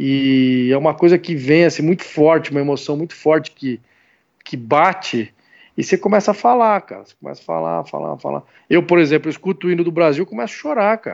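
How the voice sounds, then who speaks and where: A man's fairly high-pitched, ordinary speaking voice, with ordinary pitch variation and big swings in loudness. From São Bernardo do Campo, São Paulo state, Brazil. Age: 40s. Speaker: sports commentator. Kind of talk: casual interview chat.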